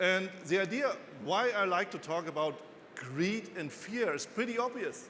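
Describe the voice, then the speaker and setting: A man at a moderate pace with a German accent, in audible room echo. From Germany. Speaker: financial analyst and author. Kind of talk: conference talk. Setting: stage with audience.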